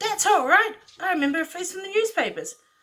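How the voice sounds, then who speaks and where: In a squeaky, put-on character voice, a woman talks very fast at an extremely high pitch, her tone excited and her loudness swinging widely. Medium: read story. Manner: excited, gossipy.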